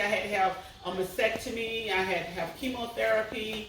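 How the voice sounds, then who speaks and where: Amid noticeable background noise and audible room echo, a woman with a fairly high pitch speaks at a fairly slow pace with ordinary pitch variation. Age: 60s. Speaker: pastor and cancer survivor. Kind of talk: testimony.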